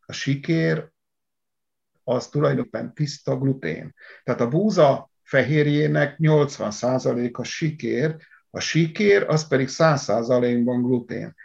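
Against a quiet background, a somewhat breathy man speaks at a very slow pace with lively intonation. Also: medium pitch for a man. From Hungary, Szatmár (upper Tisza region). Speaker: agricultural engineer. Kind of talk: interview.

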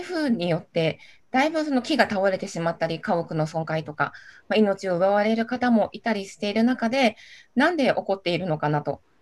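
A woman speaks with very wide swings in pitch. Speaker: city councillor. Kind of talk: panel discussion.

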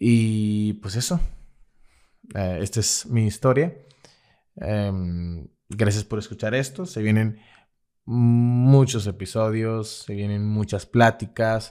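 Very slowly, a man speaks with a fairly low pitch and long, frequent pauses. The recording is very clean, with a silent background. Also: ordinary pitch variation. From Mexico, Veracruz. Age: 20s. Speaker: graphic designer. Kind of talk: personal storytelling monologue. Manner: hesitant, many fillers.

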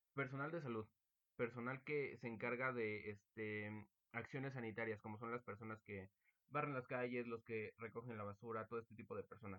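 A man with a Mexican accent talks at a fairly quick pace. His pitch is medium and his intonation fairly even. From Mexico. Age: young. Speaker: student podcast host. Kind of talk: casual chat.

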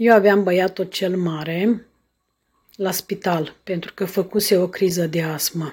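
The speech comes at a very slow pace, somewhat breathy, with fairly even intonation. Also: woman. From Romania, Bacău county (Moldavia). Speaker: podcaster sharing her life story. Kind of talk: personal storytelling monologue. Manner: halting, with frequent filler sounds.

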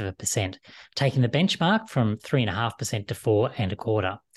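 A man with an Australian accent, somewhat breathy, with lively intonation and a fairly quick pace against a quiet background. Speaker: finance show host. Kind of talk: scripted intro then interview; casual interview on finance.

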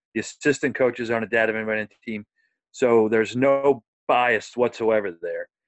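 Fairly even intonation and a fairly quick pace come through in an unremarkable speaking voice. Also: man, medium pitch for a man. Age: 40s. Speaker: minister and youth baseball coach. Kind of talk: casual interview.

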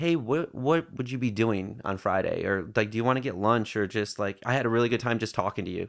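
A man with an American accent, fairly low in pitch and fairly quick, in a normal speaking voice. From northern Michigan, US. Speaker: barista and musician. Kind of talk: casual chat. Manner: laid-back, laughs often.

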